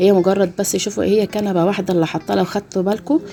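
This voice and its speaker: A woman with an Egyptian accent, medium in pitch. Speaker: YouTuber narrating a home routine video. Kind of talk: casual video commentary. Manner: hesitant, many fillers.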